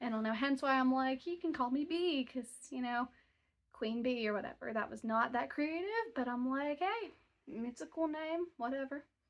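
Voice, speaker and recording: A woman speaks at a moderate pace with a high pitch. Her intonation is lively. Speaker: book vlogger. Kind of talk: casual vlog talk. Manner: rambling, casual. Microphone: phone mic, no microphone.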